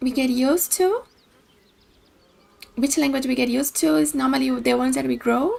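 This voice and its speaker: A woman talks at a fairly quick pace but leaves long, frequent pauses. Her loudness stays very even over noticeable background noise. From Brazil. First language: Portuguese. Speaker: video game streamer. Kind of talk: casual chat; reading aloud. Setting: live stream.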